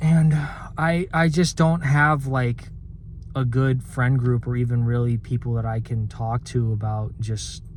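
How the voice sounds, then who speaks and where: Somewhat breathy, a man of medium pitch talks at a fairly slow pace with ordinary pitch variation. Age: 20s. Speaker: vlogger. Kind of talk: personal vent monologue. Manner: halting, many fillers and repeats.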